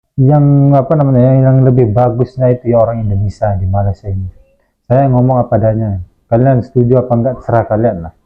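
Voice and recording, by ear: At a fairly quick pace, a man talks at medium pitch. His pitch varies in an ordinary way.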